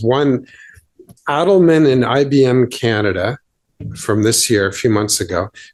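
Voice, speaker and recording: This man has an unremarkable speaking voice. He talks at a moderate pace with lively intonation. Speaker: employment lawyer presenter. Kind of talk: conference presentation.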